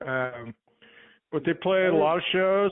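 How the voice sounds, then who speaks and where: A man with an American accent and an unremarkable speaking voice, at a moderate pace with fairly even intonation. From Long Beach, California; teen years in New Mexico. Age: 60s. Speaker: bass player, musician. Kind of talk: casual interview chat.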